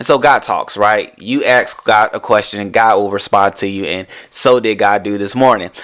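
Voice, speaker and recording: A man speaks in an animated tone with ordinary pitch variation. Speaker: podcast host. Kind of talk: motivational podcast monologue. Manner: fast.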